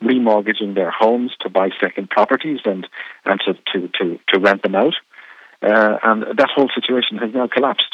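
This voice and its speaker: With an Irish accent, this man speaks at a fairly low pitch with ordinary pitch variation. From Ireland. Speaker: radio program director. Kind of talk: interview. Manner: halting, many fillers.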